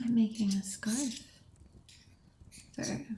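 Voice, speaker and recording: The voice is soft-spoken and somewhat breathy, at a very slow pace. Its intonation is fairly even. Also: woman. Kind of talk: ASMR soft-spoken chat.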